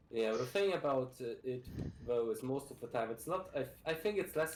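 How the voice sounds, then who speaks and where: Background music plays behind a man's voice. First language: Russian. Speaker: speedrunner. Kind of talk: casual chat.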